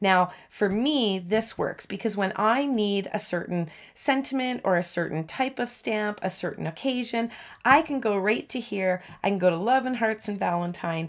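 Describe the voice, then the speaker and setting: A woman speaks at a moderate pace, her pitch varying in an ordinary way against a quiet background. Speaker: stamping crafter demonstrator. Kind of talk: tutorial.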